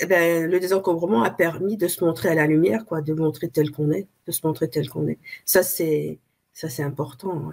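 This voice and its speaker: With vocal fry and a fairly low pitch, a woman speaks at a moderate pace with ordinary pitch variation. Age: 60s. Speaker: interviewee, coaching client. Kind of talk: interview, personal testimony. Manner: halting, with many hesitations.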